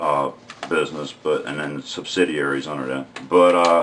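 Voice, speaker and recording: A man talks in a strong Southern US accent. Noticeable background noise is present. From US South, rural North Carolina. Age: 40s. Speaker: unemployed vlogger. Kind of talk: opinion vlog monologue. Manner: halting, many fillers and repeats.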